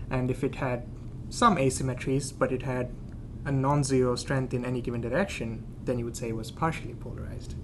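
A man at medium pitch, fairly quick in pace and fairly even in intonation, with audible room echo. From India. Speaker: planetary scientist. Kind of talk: casual science explanation.

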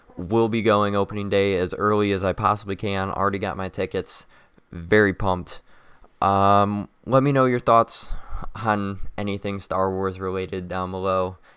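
In a very clean recording with a silent background, a man speaks at a moderate pace in a fairly low pitch with fairly even intonation. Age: young. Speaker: podcaster. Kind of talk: casual solo talk.

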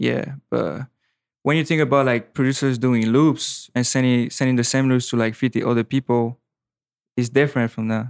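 In a French accent, a man speaks at a medium pitch and a moderate pace. His intonation is monotone and flat, on a very clean recording with a silent background. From French Caribbean island. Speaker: music producer. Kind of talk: casual podcast interview. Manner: casual, slangy.

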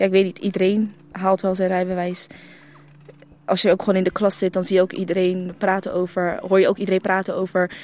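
The woman's delivery is fairly quick. Her intonation is monotone and flat. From Netherlands, The Hague region, Moroccan family. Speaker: formerly homeless young person. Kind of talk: interview testimony. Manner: halting.

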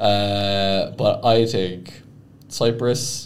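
A medium-pitched man with an Irish accent, with audible room echo. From Ireland. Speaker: podcast co-host. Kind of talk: casual chat. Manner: hesitant, many fillers.

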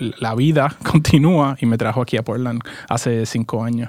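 A man speaks in an unremarkable speaking voice at a moderate pace. His pitch is medium and his intonation fairly even. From Puerto Rico. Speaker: startup founder, former accountant. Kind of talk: interview. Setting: studio.

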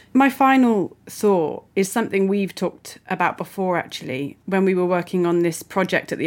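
The recording is very clean with a silent background and carries a plain, everyday voice. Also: woman. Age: 30s. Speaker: podcast host. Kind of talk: interview.

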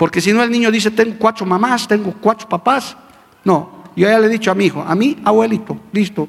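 An animated man, high-pitched, with ordinary pitch variation, a fairly quick pace and noticeable background noise. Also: very even loudness. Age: old. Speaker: pastor. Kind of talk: sermon. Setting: church with congregation. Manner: animated, emphatic.

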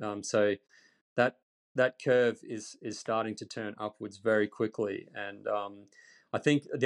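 An Australian accent at a moderate pace, fairly even intonation, dry, close sound with no echo over a quiet background. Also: man. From Australia, central Queensland. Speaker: EV reporter and YouTuber. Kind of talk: podcast interview. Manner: hesitant with frequent repetitions.

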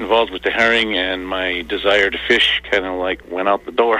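Over noticeable background noise, a man speaks in a flat monotone at a fairly low pitch. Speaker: herring warden. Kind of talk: interview.

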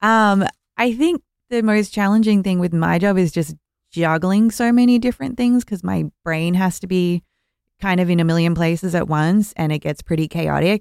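A woman with an Australian accent, ordinary pitch variation, a dry, close sound with no echo and a very clean recording with a silent background. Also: medium pitch for a woman, moderate pace. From Melbourne, Australia. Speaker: music festival organizer. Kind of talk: casual chat.

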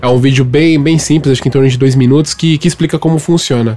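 Against noticeable background noise, a man speaks at a very fast pace with fairly even intonation. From Brazil. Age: 30s. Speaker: podcast co-host, amateur American football player. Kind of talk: casual chat.

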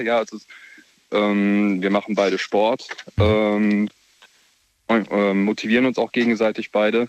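A man speaks in an unremarkable speaking voice at medium pitch. The sound is dry and close, with no echo. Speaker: caller. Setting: phone call.

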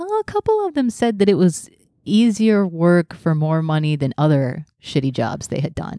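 A woman with an American accent talks at a moderate pace in a fairly low pitch, her intonation lively. It is an unremarkable speaking voice. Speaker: podcast host. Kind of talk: casual chat.

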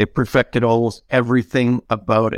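A man with a Canadian accent speaks at a medium pitch and a moderate pace. He has an ordinary speaking voice, and the sound is dry and close with no echo. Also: quiet background. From Canada. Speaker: game cinematics director. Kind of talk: panel discussion.

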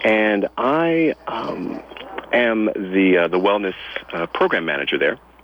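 A man's fairly low voice with very wide pitch swings, very slow, over noticeable background noise. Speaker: health and wellness consultant. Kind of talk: radio interview.

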